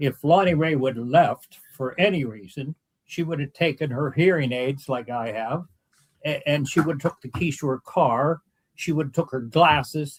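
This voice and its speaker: A man speaks at a moderate pace in a fairly high voice, somewhat breathy, with ordinary pitch variation, big swings in loudness, and a dry, close sound with no echo. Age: 80s+. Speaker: victim's relative. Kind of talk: interview.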